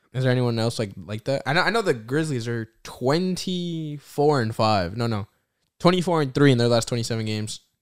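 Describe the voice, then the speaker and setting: On a very clean recording with a silent background, a man with an American accent and an ordinary speaking voice talks at a fairly quick pace in a medium pitch with lively intonation. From New Jersey. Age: 20s. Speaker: podcast co-host, college student. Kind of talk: casual chat.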